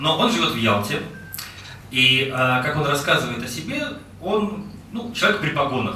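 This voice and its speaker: A man with a fairly high pitch speaks at a moderate pace, his pitch swinging very widely and broken by long, frequent pauses. Audible room echo and light background noise surround him. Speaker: executive director of a foundation. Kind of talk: presentation. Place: hall.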